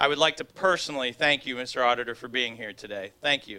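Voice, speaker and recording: Talking at a very fast pace, a man has a bright, sharp tone and ordinary pitch variation. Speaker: master of ceremonies. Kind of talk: formal speech. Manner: loud.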